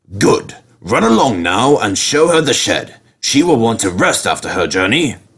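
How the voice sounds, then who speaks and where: Using a put-on character voice, a man speaks at a medium pitch and a moderate pace. His pitch makes very wide swings. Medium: read story. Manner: stern, formal.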